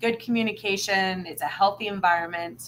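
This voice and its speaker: Loud and animated in tone, a woman speaks at a moderate pace with a medium pitch. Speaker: spirituality livestream co-host. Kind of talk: casual chat.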